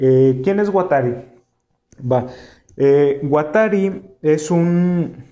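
Long, frequent pauses mark a man's very slow speech, delivered at a fairly high pitch in a dark, mellow tone with ordinary pitch variation and audible room echo. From Mexico, Tijuana (Baja California border). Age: 20s. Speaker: podcast host. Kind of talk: casual solo chat, anime discussion. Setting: live stream on YouTube.

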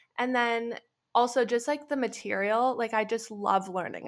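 A woman speaks in a bright, sharp tone with a Western Canadian accent. The recording is very clean, with a silent background. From Canada, Alberta. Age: 20s. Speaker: entrepreneur and graduate student. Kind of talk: casual interview chat.

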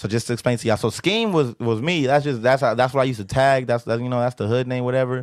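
A man with an American accent talks at a very fast pace with hardly any pauses. His pitch is medium and his intonation fairly even. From South Central Los Angeles. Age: 20s. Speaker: rapper. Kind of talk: casual chat. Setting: studio.

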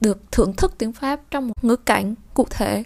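This woman has an ordinary speaking voice with a fairly high pitch. She talks at a moderate pace. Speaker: French language teacher, channel host. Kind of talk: bilingual language lesson with reading aloud.

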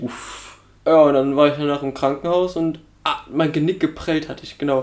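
This man has a fairly high pitch and a monotone, flat delivery at a moderate pace. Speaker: podcast co-host. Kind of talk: casual banter podcast.

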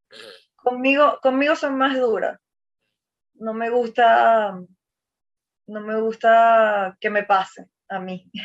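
Long, frequent pauses break up a woman's very slow speech, which has a fairly high pitch, ordinary pitch variation and big swings in loudness. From Venezuela, Maracaibo (Zulia). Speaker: ballet dancer. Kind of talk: interview conversation.

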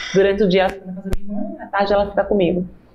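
Noticeable background noise behind a woman with a medium-pitched voice. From Alagoas, northeast Brazil. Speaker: businesswoman. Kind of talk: testimony.

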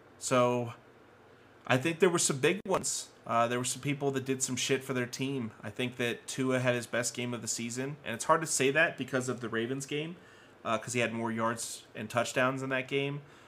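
A man speaks in a plain, everyday voice at medium pitch. His intonation is fairly even and his pace moderate. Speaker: sports podcast co-host. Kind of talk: casual banter, football review.

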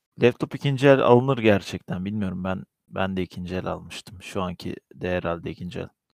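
A man with a very deep, low pitch speaks at a fairly quick pace with ordinary pitch variation and big swings in loudness. The sound is dry and close, with no echo. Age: 20s. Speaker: podcast co-host. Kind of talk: casual chat.

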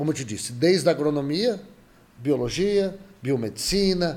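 The voice belongs to a man with a fairly high pitch. His intonation is lively. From Brazil, São Paulo state interior (Jaboticabal). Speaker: virologist professor. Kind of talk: interview.

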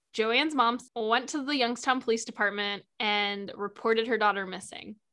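This woman has a bright, sharp tone and a fairly high pitch. She speaks at a moderate pace on a very clean recording with a silent background. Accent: American. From Ohio. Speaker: podcast host. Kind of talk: casual true crime podcast narration and chat. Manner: animated, casual.

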